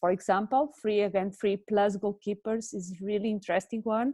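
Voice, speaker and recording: Recorded dry and close with no echo, a woman speaks with a Portuguese accent at a moderate pace. Her pitch is medium and her intonation fairly even. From Portugal. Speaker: handball development expert. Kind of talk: webinar discussion. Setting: video call. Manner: halting, many fillers.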